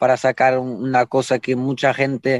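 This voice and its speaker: A man's medium-pitched voice with a Portuguese accent, fairly slow, the sound dry and close with no echo. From Portugal. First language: Portuguese (speaking Spanish). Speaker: jockey. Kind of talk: casual chat.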